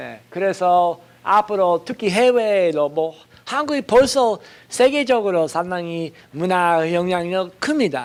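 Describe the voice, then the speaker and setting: Speaking at a very slow pace, a man with a high pitch talks with a non-native accent. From foreign country (non-Korean). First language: not Korean (speaking Korean). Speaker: professor. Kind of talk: lecture. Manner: halting, many fillers.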